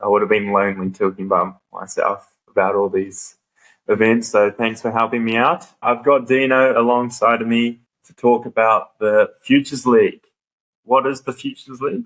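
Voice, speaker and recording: Speaking at a moderate pace with a New Zealand accent, a man uses a medium pitch with ordinary variation and big swings in loudness. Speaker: podcast host. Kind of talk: casual chat. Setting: classroom at a cricket ground.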